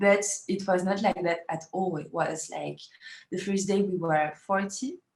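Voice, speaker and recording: A woman with a French accent, medium pitch, and a fairly slow pace. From France. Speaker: feminist activist. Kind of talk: interview. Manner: halting, many fillers.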